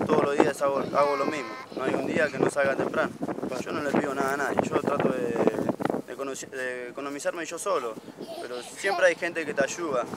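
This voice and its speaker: A man at a moderate pace, with a dry sound with no echo and loud background noise. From Buenos Aires province, Argentina. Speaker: homeless father walking with his family. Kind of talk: street interview. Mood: earnest, somewhat weary. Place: open country.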